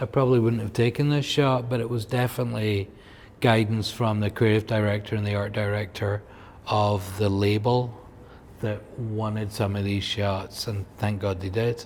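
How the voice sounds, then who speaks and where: In a Scottish accent, a man speaks at a moderate pace with a fairly low pitch and fairly even intonation. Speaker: photographer. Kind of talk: casual chat. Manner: halting.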